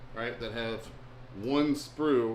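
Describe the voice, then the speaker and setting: A man with a Southern US accent, flat monotone intonation, and audible room echo. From US South (Alabama, Texas, Florida; Navy family). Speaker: bait maker. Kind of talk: live stream chat. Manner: casual, filler-heavy.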